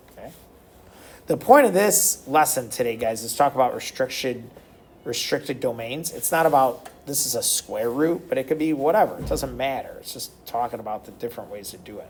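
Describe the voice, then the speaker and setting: A man with an unremarkable speaking voice, fairly high in pitch, with lively intonation, big swings in loudness and a fairly quick pace. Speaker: math teacher. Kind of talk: recorded math lesson tutorial.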